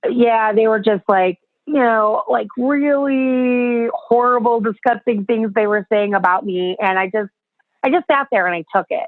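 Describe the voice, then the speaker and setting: A woman with an American accent uses a normal speaking voice at a fairly slow pace. Her pitch is fairly high, with ordinary pitch variation. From US, Chicago. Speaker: self-acceptance speaker and podcaster. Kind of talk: interview testimony.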